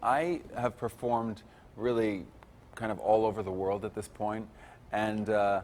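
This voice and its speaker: This is a man's voice. He speaks with a strong Italian accent. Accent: thick Italian. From Italy. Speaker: concert pianist and composer. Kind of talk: interview.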